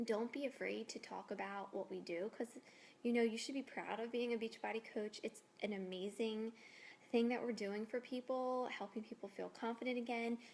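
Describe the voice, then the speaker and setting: Soft-spoken and with fairly even intonation, a woman talks. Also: fairly high pitch for a woman, moderate pace. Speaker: fitness coach. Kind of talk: casual video tips.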